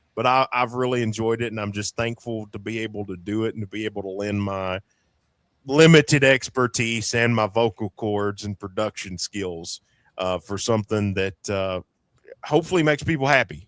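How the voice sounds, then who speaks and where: The sound is dry and close with no echo as a man with an Appalachian accent talks in a fairly low pitch with ordinary pitch variation. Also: moderate pace. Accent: Appalachian Southern US. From Eastern Kentucky. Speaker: podcast host, former radio host. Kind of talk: casual chat.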